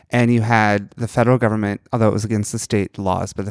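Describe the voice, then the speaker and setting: On a very clean, dry, close recording with a silent background and no echo, a man with an American accent talks very fast in a fairly low, monotone, flat voice. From New York. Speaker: flight attendant, podcast co-host. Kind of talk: casual chat.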